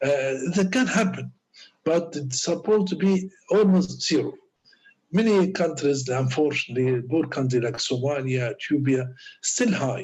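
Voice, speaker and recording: A man speaks in an Arabic accent at a moderate pace. His voice is somewhat breathy. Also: fairly high pitch for a man, lively intonation. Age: 60s. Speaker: doctor and lecturer. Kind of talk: lecture. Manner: halting.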